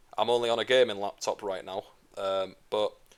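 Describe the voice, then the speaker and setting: This is a man speaking. He has an English accent. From England. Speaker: gaming YouTuber. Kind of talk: tutorial; casual chat. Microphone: gaming laptop recording.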